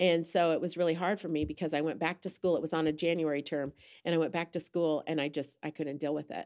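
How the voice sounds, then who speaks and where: A woman with an American accent talks at a very fast pace in a very deep, low pitch. Her intonation is monotone and flat, on a very clean recording with a silent background. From Indiana, US Midwest. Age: 60s. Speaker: church member. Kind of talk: casual chat.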